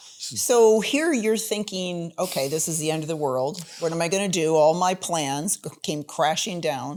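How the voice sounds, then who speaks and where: The speaker has an unremarkable speaking voice and an American accent. The pace is fairly slow with lively intonation. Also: woman, fairly low pitch for a woman. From New York State. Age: 60s. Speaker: podcast host, former model. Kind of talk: interview conversation.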